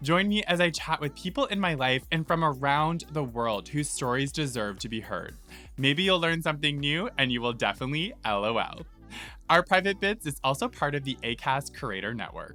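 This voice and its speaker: At a moderate pace, the voice carries on over background music. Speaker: podcast host. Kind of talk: podcast intro. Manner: upbeat.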